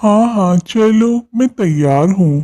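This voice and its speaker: This is a cartoonish character voice. The pitch sits in the middle range. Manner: mild, innocent.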